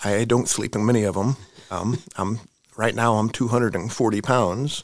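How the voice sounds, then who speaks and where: At a moderate pace, a man talks in a plain, everyday voice with medium pitch and fairly even intonation. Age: 40s. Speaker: missionary. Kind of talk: interview.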